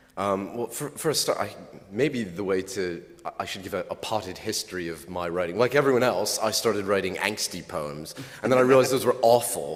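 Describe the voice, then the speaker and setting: A man with an American accent speaks at a fairly quick pace and fairly low pitch amid noticeable background noise. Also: lively intonation. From US. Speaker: poet. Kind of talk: panel discussion. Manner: halting.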